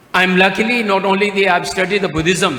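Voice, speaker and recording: In a raised, projected voice with a high pitch, a man speaks with a Tibetan accent amid noticeable background noise and audible room echo. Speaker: Buddhist speaker. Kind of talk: speech at conference. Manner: halting.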